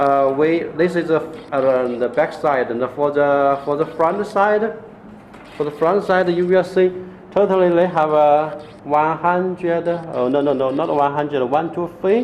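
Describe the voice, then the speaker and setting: A man speaks at a fairly slow pace with a fairly high pitch and ordinary pitch variation. Noticeable background noise sits behind him. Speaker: LED grow light seller. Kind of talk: product demonstration. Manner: halting, many fillers and repetitions.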